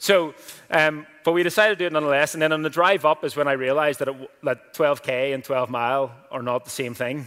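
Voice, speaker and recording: A man with a Northern Irish accent talks at a fairly quick pace in a bright, sharp tone, his fairly high pitch showing ordinary variation. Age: 20s. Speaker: pastor. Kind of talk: sermon. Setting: church. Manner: casual.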